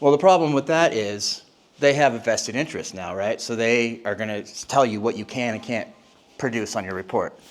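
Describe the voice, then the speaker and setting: This man has an ordinary speaking voice at medium pitch. He keeps a moderate pace with ordinary pitch variation. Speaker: industry presenter. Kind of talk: conference presentation.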